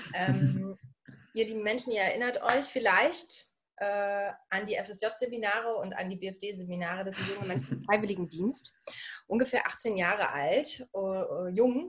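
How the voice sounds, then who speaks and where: A woman in a strong Berlin accent, medium in pitch, with lively intonation and a fairly slow pace. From Berlin/Brandenburg, Germany. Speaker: coach for women. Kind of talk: interview. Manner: casual, dialect-heavy.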